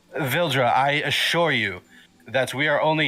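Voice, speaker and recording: At a moderate tempo, a man puts on a character voice pitched fairly high. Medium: actual play.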